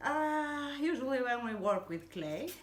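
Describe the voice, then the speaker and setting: A woman talks rather slowly, with room echo clearly audible. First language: not English. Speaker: hobby crafter. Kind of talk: tutorial. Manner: halting, many fillers and repetitions.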